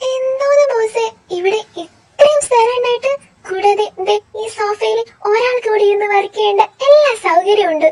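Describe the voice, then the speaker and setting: This woman puts on a squeaky character voice at an extremely high pitch. She keeps a moderate pace and ordinary pitch variation. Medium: audio drama. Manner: playful, talkative, teasing.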